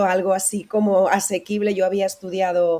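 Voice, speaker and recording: Speaking with a dark, mellow tone, a woman keeps a medium pitch and fairly even intonation. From Spain, Valladolid (Castile). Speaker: author, radio professional. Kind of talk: interview.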